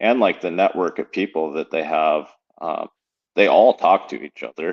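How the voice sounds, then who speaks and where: The speaker is a man with an American accent. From central Wisconsin. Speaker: professional bass angler and fishing guide. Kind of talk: casual chat.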